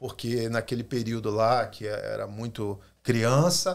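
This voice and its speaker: A man speaks at a fairly slow pace with very wide pitch swings, in a very clean recording with a silent background. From Brazil. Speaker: pastor. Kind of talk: podcast discussion.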